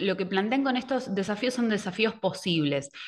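An ordinary speaking voice from a woman, medium in pitch, at a moderate pace with lively intonation. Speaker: educational technology advisor; presenter. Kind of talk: online workshop presentation. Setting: video call. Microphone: webcam.

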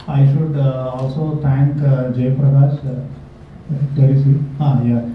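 As the man talks, light background noise and audible room echo are present. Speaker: professional association chairman. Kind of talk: welcome address. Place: hall.

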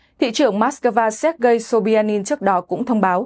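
Speaking at a moderate pace over a quiet background, a woman has a plain, everyday voice with a fairly high pitch and ordinary pitch variation. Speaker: news presenter. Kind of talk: news reading. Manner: formal.

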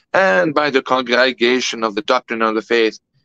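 A man with a French accent talks at a moderate pace in a bright, sharp tone, with ordinary pitch variation. The sound is dry with no echo, over a quiet background. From France. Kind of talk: interview. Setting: video call. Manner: formal. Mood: calm, earnest explaining. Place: home room. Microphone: video call.

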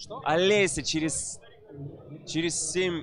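A man at a fairly slow pace, dry sound with no echo, light background noise. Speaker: event host. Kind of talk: casual interview chat. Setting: live stream at event. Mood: joking, teasing. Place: hall. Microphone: handheld.

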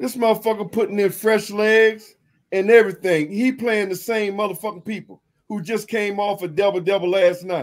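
The voice keeps fairly even intonation and moves at a fairly quick pace. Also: man, high pitch for a man. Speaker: sports YouTube channel host. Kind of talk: casual live-stream sports talk. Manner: loud, profane, laughing banter.

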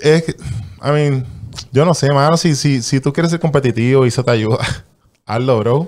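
Against a quiet background, a man speaks at a fairly high pitch with ordinary pitch variation and very even loudness. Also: moderate pace. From Puerto Rico. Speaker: guest. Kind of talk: casual interview. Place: studio. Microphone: studio mic.

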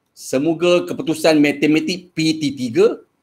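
This man speaks with lively intonation at a fairly high pitch. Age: 50s. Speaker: secondary school maths teacher; experienced mathematics teacher. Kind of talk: workshop lecture. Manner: hesitant, many fillers. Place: home room.

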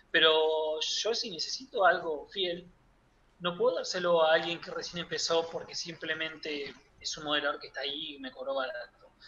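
A man's high-pitched voice at a moderate pace, ordinary pitch variation and big swings in loudness, over light background noise. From Buenos Aires province, Argentina. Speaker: 3D character artist; guest. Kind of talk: interview. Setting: at home. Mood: relaxed, reminiscing. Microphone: webcam.

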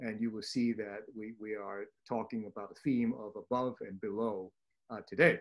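Very wide pitch swings run through this man's speech. His pace is moderate. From Hong Kong. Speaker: neurosurgeon, webinar host; webinar host. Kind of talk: case presentation webinar. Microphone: video call.

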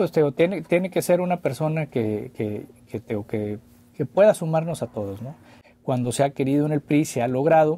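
A man speaks at a moderate pace with a fairly high pitch and a dark, mellow tone. His intonation is lively, and the sound is dry with no echo. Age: 40s. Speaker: former mayor. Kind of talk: interview. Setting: studio. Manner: halting, many repetitions. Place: studio. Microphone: studio mic.

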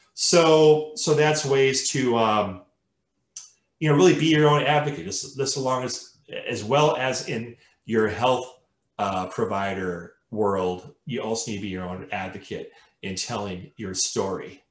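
Amid audible room echo, a man speaks at a fairly slow pace with big swings in loudness. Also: medium pitch for a man. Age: 50s. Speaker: colorectal cancer survivor and advocate. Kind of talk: webinar presentation. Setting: video call. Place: home room.

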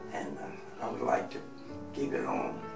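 Clear music sits in the background. Over it, a man talks. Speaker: retired truck broker, below-knee amputee. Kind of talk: interview answer. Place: office.

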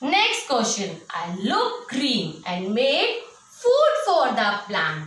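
A woman speaks at a very slow pace in a raised, projected voice. Room echo is audible. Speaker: school science teacher. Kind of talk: online class lesson for children. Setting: recorded at home for online class. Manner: slow and repetitive, teacherly. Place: classroom. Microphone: phone near.

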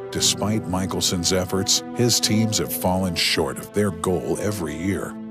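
Over clear background music, a man speaks at a fairly slow pace, the sound dry with no echo. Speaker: voice-over narrator. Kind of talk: sports documentary narration. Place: booth. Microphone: studio mic.

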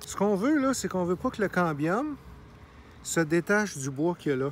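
Speaking in a Quebec accent, a man with a high pitch makes very wide pitch swings, in a dry sound with no echo and light background noise. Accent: Québécois French. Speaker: gardener. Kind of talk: tutorial. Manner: casual, hesitant. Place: garden. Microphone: phone near.

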